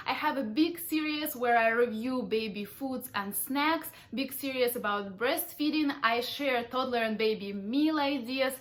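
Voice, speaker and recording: A woman speaks in a high voice with ordinary pitch variation. Her pace is fairly slow, with hardly any pauses. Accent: Ukrainian. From Ukraine. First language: Russian. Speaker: parenting vlogger. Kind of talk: vlog monologue.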